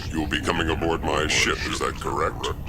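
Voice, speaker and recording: A man performs a cartoonish character voice at a moderate pace over loud background noise. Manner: formal, deferential.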